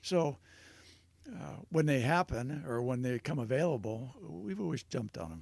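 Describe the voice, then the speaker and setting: At a moderate pace, a man speaks with a medium pitch. His pitch swings very widely and his loudness shifts a lot. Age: 70s. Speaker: retired businessman. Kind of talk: casual chat.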